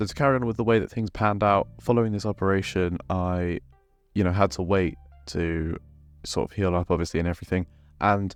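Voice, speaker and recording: A man with a British accent speaks at a fairly quick pace in a very deep, low pitch, his intonation fairly even, with music playing in the background. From UK. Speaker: fitness and football YouTuber. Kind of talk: casual vlog monologue.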